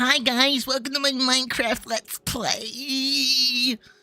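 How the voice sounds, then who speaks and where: This put-on character voice is nasal and high-pitched. It moves at a very slow pace with monotone, flat intonation. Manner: cheery, canned intro.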